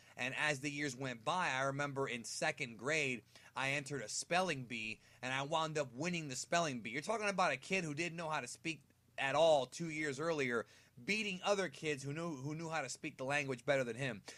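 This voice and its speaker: A fairly high male voice in an American accent, fairly quick, with a bright, sharp tone. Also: ordinary pitch variation. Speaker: gaming YouTuber. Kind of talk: casual monologue. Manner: casual, conversational.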